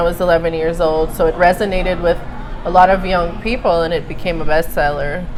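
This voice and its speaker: A woman with a fairly low pitch speaks at a moderate pace in a monotone, flat intonation, with audible room echo and noticeable background noise. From Brazil, Rio de Janeiro. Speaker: writer and journalist. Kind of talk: interview. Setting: live event with crowd.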